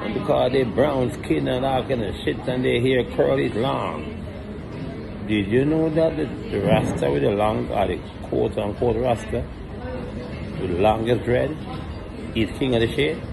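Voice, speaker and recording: Long, frequent pauses break up a man's speech at a moderate pace. Noticeable background noise runs underneath. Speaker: channel owner, reggae artist. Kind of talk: angry rant, profane. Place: bar. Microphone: phone near.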